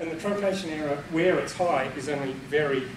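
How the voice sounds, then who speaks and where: Man talking at a fairly quick pace over noticeable background noise. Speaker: presenter. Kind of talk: lecture. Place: meeting room. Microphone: camera far.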